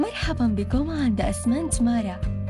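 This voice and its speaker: Clear music plays in the background. A woman speaks at a very slow pace, the sound dry with no echo. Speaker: voice actor. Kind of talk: IVR phone greeting. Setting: studio.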